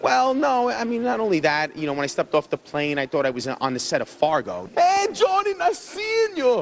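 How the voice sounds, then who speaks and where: Someone with a New York accent talks with hardly any pauses. Noticeable background noise runs under the voice. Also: man, moderate pace. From New York City. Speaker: football fan. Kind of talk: street interview. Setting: airport. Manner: animated.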